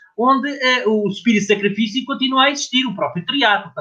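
Raised and projected, a man's voice races at a very fast pace with lively intonation. His tone is bright and sharp. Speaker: former distance runner, journalist. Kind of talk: casual chat.

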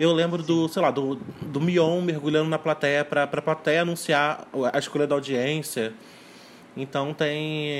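Over noticeable background noise, a man talks at a fairly slow pace. His fairly high voice stays monotone and flat. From Rio de Janeiro state, Brazil (São Gonçalo). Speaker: music YouTube channel producer. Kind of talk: casual chat.

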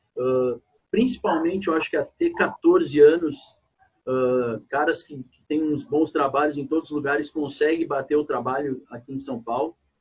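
A somewhat breathy man talks at a moderate pace in a fairly high pitch, with big swings in loudness. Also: ordinary pitch variation. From southern Brazil, Porto Alegre. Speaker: youth basketball coach. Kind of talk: casual interview.

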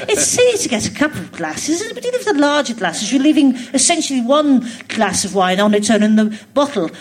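A woman with a high voice talks at a fairly quick pace with lively intonation, and noticeable background noise is present. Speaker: comedian. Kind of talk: casual interview chat. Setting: stage with audience, live theatre.

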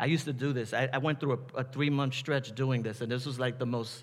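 Fairly quick and fairly even in intonation, a man with a New York accent talks at a medium pitch. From New York City, the Bronx. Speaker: pastor. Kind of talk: sermon.

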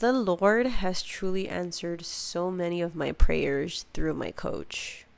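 A woman speaks at a very slow pace with hardly any pauses and a fairly low pitch. Her loudness swings widely, while her pitch varies in an ordinary way. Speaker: podcast host. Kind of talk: solo podcast monologue. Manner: animated.

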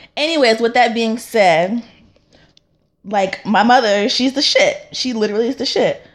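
This woman has a normal speaking voice with an American accent, a moderate pace and ordinary pitch variation. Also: fairly high pitch for a woman. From North Carolina, US. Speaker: podcast host. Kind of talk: casual chat.

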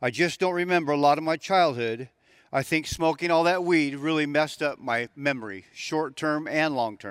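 A man's plain, everyday voice, fairly high in pitch, with an American accent, lively intonation and a moderate pace. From Southern California. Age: 60s. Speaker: recovery testimony speaker, former prisoner. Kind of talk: testimony.

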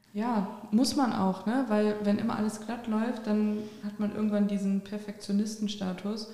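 Amid noticeable background noise and audible room echo, a woman talks at a moderate pace with a fairly high pitch and flat, monotone intonation. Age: 20s. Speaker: podcast host. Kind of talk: casual interview.

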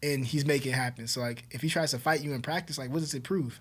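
A man with an American accent talks at a very fast pace, his fairly high pitch held to fairly even intonation. The recording is very clean, with a silent background. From Southern California, Inland Empire. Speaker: police officer. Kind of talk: casual chat.

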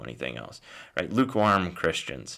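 A man talks at a very fast pace with vocal fry and a bright, sharp tone. The recording is very clean, with a silent background. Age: 40s. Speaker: podcast host. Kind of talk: solo history lecture. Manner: animated; many fillers.

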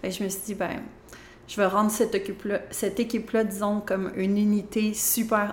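This woman speaks in a flat, monotone way with a Quebec accent. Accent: Québécois French. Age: 30s. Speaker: interior designer and business owner. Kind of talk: interview.

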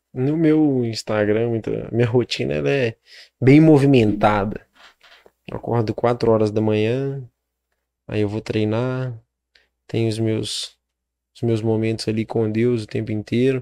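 A man with a medium pitch and a dark, mellow tone speaks at a fairly slow pace, his pitch varying in an ordinary way. He leaves long, frequent pauses against a quiet background. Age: 20s. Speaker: entrepreneur. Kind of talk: interview.

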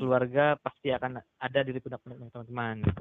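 Speaking at a medium pitch, the man delivers his words in a monotone with flat intonation. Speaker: student leader. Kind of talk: casual interview.

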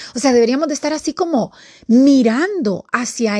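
A woman's voice sits high in pitch, with very wide swings and a dark, mellow tone. The sound is dry and close with no echo, over a quiet background. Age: 50s. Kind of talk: devotional talk. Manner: casual and conversational.

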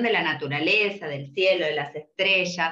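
Fairly slow speech from a woman with a bright, sharp tone, fairly low pitch, ordinary pitch variation and audible room echo. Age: 40s. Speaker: podcast host. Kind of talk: casual chat.

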